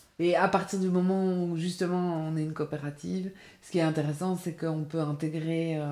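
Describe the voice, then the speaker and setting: The woman's voice has a dark, mellow tone and monotone, flat intonation. Her loudness swings widely. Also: moderate pace. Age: 40s. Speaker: freelance graphic designer, cooperative member. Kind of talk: interview. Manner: halting, many repetitions and fillers.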